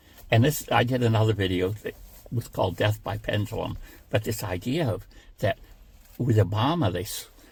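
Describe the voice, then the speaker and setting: At a moderate pace, a man speaks in a somewhat breathy voice of medium pitch with ordinary pitch variation and long, frequent pauses. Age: 70s. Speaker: political commentator YouTuber. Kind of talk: casual political monologue. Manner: halting, many fillers.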